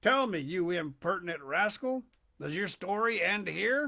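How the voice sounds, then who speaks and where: The speaker uses a put-on character voice that sounds shaky. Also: man, high pitch for a man, moderate pace. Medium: read story.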